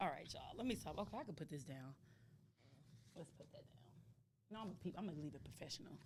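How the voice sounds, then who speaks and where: A woman with a fairly low, somewhat breathy voice talks at a very fast pace in an animated tone with lively intonation, yet takes long, frequent pauses. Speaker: podcast co-host. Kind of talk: casual chat.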